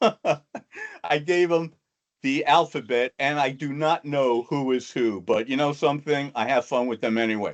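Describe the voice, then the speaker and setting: The speaker has an American accent and talks at a fairly slow pace. Pitch varies in an ordinary way, and the sound is dry and close with no echo. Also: man, fairly high pitch for a man. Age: 60s. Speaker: motivational speaker. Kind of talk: talk to an online audience.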